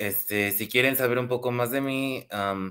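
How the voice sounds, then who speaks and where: Here a man with a Mexican accent talks fairly slowly at a medium pitch with ordinary pitch variation. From Mexico. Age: 20s. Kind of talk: webinar presentation.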